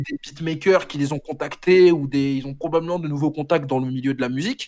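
Here a man speaks with fairly high pitch. His pace is moderate and his intonation fairly even. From France, Senegalese family. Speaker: rapper. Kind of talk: casual interview. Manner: halting.

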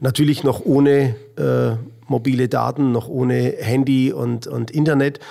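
Noticeable background noise behind a man talking at a fairly slow pace. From Middle Franconia, Bavaria (Rothenburg ob der Tauber). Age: 50s. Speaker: American football coach. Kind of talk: interview. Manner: halting, many fillers.

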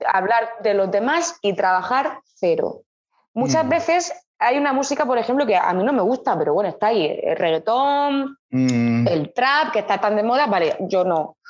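A woman speaks at a fairly slow pace in a fairly high pitch, with very wide pitch swings. Her loudness stays very even throughout. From Murcia, Spain. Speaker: jazz and soul singer. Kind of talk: interview.

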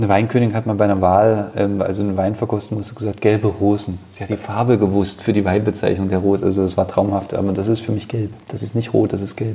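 A flat, monotone voice races along at a very fast pace with hardly any pauses over noticeable background noise. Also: man, fairly low pitch for a man. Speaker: winemaker. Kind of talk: casual interview during wine tasting. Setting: wine cellar. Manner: hesitant, many fillers.

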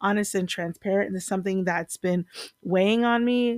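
A woman's medium-pitched voice, an unremarkable speaking voice, with fairly even intonation, a dry, close sound with no echo and a very clean recording over a silent background. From US, Virginia-born, Puerto Rican family. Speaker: podcast host. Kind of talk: casual solo podcast monologue.

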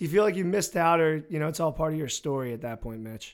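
Speaking at a very fast pace in an American accent, a man is heard on a very clean recording with a silent background. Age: 20s. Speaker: podcast host, lacrosse coach. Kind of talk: casual chat; scripted narration.

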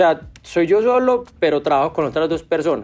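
Speaking in a normal speaking voice, a man talks at a fairly quick pace with ordinary pitch variation. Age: 30s. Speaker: sneaker restoration entrepreneur. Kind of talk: interview.

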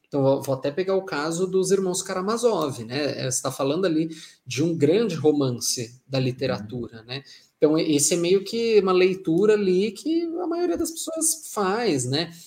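A man with a high pitch, lively intonation and a moderate pace. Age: 20s. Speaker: journalist and writer. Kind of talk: casual interview chat. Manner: talkative.

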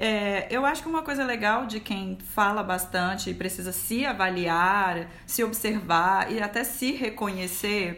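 A woman talks at a fairly slow pace with hardly any pauses, her medium-pitched voice bright and sharp with ordinary pitch variation. Audible room echo surrounds her. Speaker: communications professional. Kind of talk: casual chat. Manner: talkative, lots of laughter.

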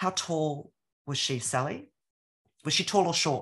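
Against a quiet background, a woman with an Australian accent speaks with a very deep, low-pitched voice. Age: 60s. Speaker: author and former academic. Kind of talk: casual interview.

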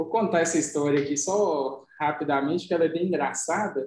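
A man with an ordinary speaking voice, fairly high pitch and a moderate pace. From Minas Gerais interior, Brazil. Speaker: podcast co-host. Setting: home recording with dogs in background.

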